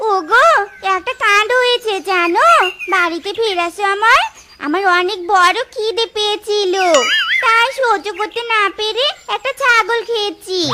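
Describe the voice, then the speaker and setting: A cartoonish character voice that sounds female speaks at a very slow pace with extremely high pitch. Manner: sharp-tongued, bossy.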